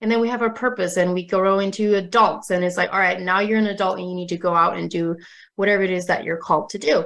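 Against a quiet background, a woman with an American accent and medium pitch talks very fast with fairly even intonation. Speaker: wellness and fitness coach, author. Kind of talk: interview.

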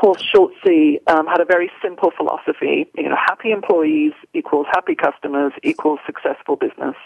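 A woman with an American accent at a moderate pace, with hardly any pauses. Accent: British with American slipping in. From England. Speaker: corporate executive. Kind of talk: radio interview.

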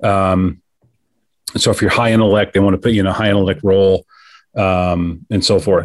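An American accent at a moderate pace with long, frequent pauses, ordinary pitch variation and very even loudness, on a very clean recording with a silent background. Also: man, fairly low pitch for a man. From US Midwest, Kansas City. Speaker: business executive and former Marine officer. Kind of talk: interview conversation.

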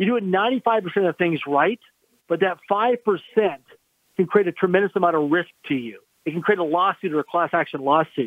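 A man's high voice moves by a normal amount in pitch at a moderate speed. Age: 50s. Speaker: entrepreneur and investor. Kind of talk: radio interview.

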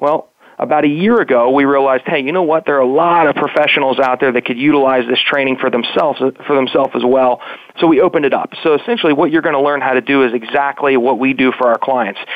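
With an American accent, a man talks very fast at a fairly high pitch, keeping very even loudness and fairly even intonation over noticeable background noise. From West Virginia. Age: 20s. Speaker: digital marketing agency owner. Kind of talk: interview. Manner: halting.

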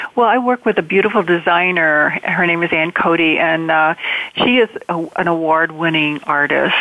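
Against noticeable background noise, a woman talks at a fairly low pitch with ordinary pitch variation and very even loudness. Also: moderate pace. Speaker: spiritual author. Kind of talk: inspirational interview. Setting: online call.

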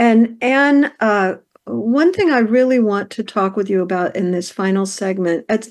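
A woman has an ordinary speaking voice with a medium pitch and ordinary pitch variation. She speaks at a fairly slow pace against a quiet background. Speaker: radio host. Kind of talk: radio interview conversation.

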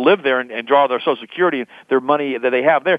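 The pace is very fast. The sound is dry and close, with no echo. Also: man.

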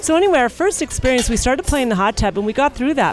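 Over noticeable background noise, a woman talks at a very fast pace in a high, animated voice with very wide pitch swings. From Montreal, Quebec. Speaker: swinger guest. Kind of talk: casual chat. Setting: cruise ship dining room.

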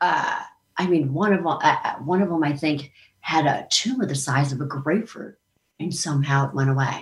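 A woman talks at a moderate pace with a very deep, low pitch. Her voice is somewhat breathy, with ordinary pitch variation. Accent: American. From Maryland, US. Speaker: country singer. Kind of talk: casual interview chat. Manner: animated, joking.

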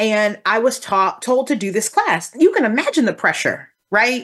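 A woman's fairly high voice in an American accent, lively intonation, quiet background. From Texas. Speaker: career coach. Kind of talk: interview conversation. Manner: talkative.

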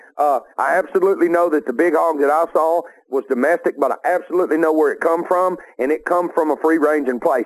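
A man with a Southern US accent at a high pitch and fairly quick pace. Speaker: outdoor TV show host. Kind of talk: casual banter.

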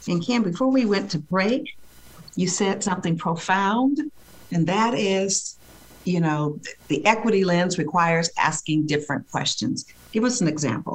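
Lively in intonation and somewhat breathy, a woman at medium pitch speaks at a moderate pace with very even loudness. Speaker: radio host. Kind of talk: polished radio interview. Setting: radio studio. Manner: warm, measured, professional.

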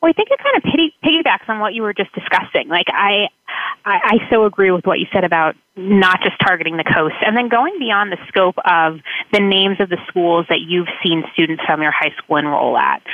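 This woman has an American accent and an unremarkable speaking voice at medium pitch. She moves at a moderate pace with lively intonation. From South Florida. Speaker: college admissions counselor. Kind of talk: radio interview.

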